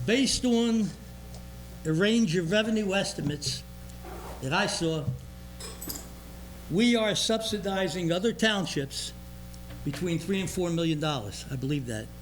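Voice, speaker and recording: A man with a high pitch and lively intonation at a moderate pace, long, frequent pauses and audible room echo. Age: 80s. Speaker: resident speaking at public comment. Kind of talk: public comment at township meeting. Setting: township board meeting room, cameras rolling.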